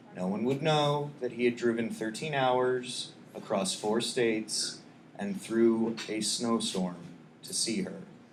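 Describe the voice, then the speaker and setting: A man talks quietly at a medium pitch, with lively intonation. His pace is very slow, and the room echo is audible. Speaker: poet. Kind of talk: poetry reading; casual chat. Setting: stage with audience. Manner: quiet indoor voice; halting.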